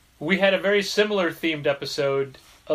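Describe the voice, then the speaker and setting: A man talks at a moderate pace in a fairly high pitch, with ordinary pitch variation. He has a normal speaking voice. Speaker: podcast host.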